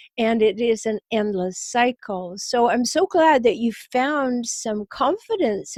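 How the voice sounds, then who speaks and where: The dry, close recording with no echo captures a woman speaking at a very slow pace with a fairly high pitch. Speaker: relationship coach and podcast host. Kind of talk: interview.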